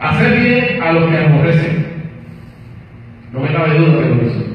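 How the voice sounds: Amid strong room echo, a man speaks at a fairly high pitch and moderate pace, his voice making big pitch swings.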